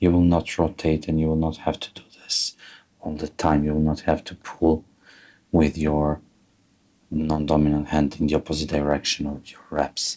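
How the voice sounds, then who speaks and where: A man with a very deep, low voice speaks at a moderate pace in a monotone, flat intonation, with big swings in loudness. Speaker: fly tyer. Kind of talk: tutorial.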